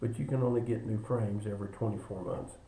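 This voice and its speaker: There is audible room echo on this recording. A man's voice is heard in it. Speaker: insurance agent. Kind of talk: benefits presentation video. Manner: fast.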